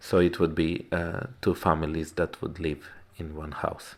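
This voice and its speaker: A man with a non-native accent at a fairly slow pace, in a very clean recording with a silent background. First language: not English. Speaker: woodworker and DIY builder. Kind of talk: video narration. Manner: halting, many fillers.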